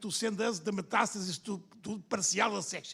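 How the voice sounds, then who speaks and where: The man's voice sits high in pitch. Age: older. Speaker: liver surgeon. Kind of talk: conference panel discussion.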